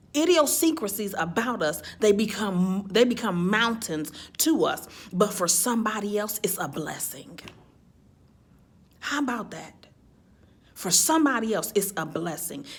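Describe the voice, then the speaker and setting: In a room with audible echo, a woman talks at a medium pitch with an animated tone and very wide pitch swings. Her pace is fairly slow, with long, frequent pauses. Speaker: motivational speaker. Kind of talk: motivational talk. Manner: halting, repeats words.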